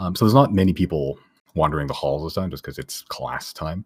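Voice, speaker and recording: Very fast speech from a man with vocal fry and ordinary pitch variation. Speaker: game master of a tabletop role-playing game. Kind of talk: tabletop game narration and casual chat. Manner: halting, many fillers; out of breath.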